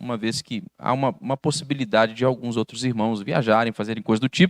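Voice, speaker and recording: The man's voice comes across dry and close, with no echo, in a very clean recording with a silent background. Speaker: pastor. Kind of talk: bible study lecture. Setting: church.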